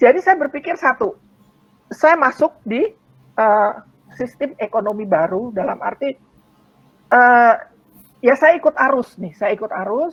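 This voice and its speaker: A woman speaks at a fairly slow pace in a high pitch, with long, frequent pauses. Her pitch swings very widely. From Indonesia. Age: 60s. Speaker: network marketing business member. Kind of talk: testimony. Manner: halting.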